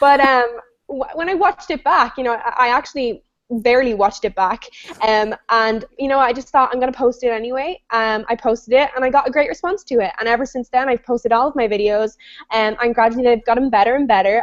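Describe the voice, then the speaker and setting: A woman speaking very fast, high-pitched and animated, with ordinary pitch variation. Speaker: online business coach hosting a webinar. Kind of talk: live web show discussion. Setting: video call.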